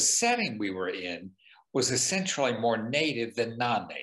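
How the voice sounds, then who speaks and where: An unremarkable speaking voice from a man with an American accent, medium in pitch, at a fairly slow pace with ordinary pitch variation. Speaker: museum director. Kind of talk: interview conversation.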